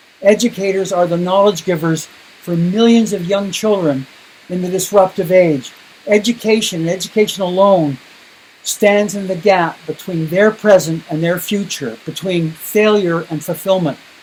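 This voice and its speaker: Speaking with a Canadian accent, a man talks at a moderate pace in a high pitch with ordinary pitch variation. Noticeable background noise runs behind him. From Canada. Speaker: education speaker. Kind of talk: keynote presentation. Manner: emphatic.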